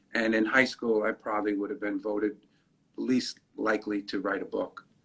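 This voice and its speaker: A man speaks with a New York accent at a moderate pace. His pitch sits fairly low and his intonation is monotone and flat. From New York City, the Bronx. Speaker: comedian and radio personality. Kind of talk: interview. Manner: halting.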